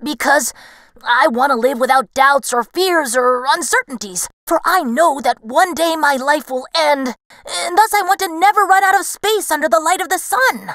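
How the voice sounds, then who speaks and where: A woman uses a put-on character voice, high in pitch. She keeps a moderate pace. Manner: eager, confident.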